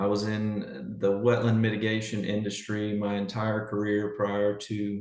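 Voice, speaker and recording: There is noticeable background noise as a man with a strong Southern US accent talks in a fairly low voice. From Louisiana, Baton Rouge. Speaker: public district general manager. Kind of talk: public meeting report. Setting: video call.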